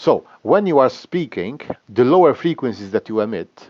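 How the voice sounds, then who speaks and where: The speaker's pitch swings very widely at a moderate pace. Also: man. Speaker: teacher. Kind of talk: lecture. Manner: halting.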